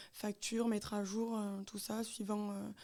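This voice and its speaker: A woman speaks fairly slowly in a dark, mellow tone. Her pitch is fairly high and her intonation flat and monotone. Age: 20s. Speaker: self-employed seamstress. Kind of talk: radio interview. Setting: web radio live studio. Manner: hesitant, many fillers.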